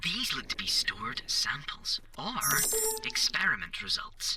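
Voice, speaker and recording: A put-on character voice is heard. Its pitch sits fairly high and its pace is moderate. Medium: machinima. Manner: precise, matter-of-fact.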